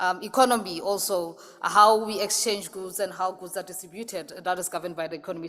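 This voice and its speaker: Talking at a very fast pace, a woman with a Lesotho accent is heard over noticeable background noise. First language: Sesotho. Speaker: associate professor. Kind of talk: conference presentation.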